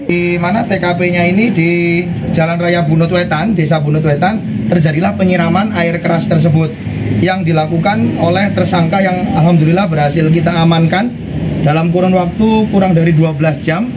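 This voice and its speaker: A man speaks with ordinary pitch variation over loud background noise. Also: moderate pace. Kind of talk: press statement. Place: station.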